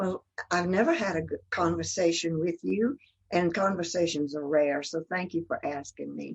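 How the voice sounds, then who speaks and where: A woman with a Southern US accent speaks at a moderate pace. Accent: Southern US (Georgia). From US South, Georgia (Athens and Atlanta). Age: 80s+. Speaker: church member. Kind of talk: interview.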